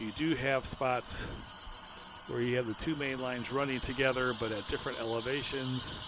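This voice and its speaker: Monotone, flat male voice at a medium pitch and moderate pace, with noticeable background noise. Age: 60s. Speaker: model railroad hobbyist. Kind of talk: narrated layout tour. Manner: casual, with filler words.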